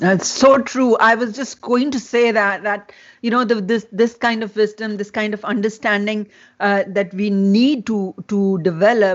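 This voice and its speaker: Speaking in a Pakistani accent, a woman uses a fairly high pitch with fairly even intonation at a fairly slow pace. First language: Urdu. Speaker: festival host and interviewer. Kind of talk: interview conversation. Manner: halting, many fillers and repetitions.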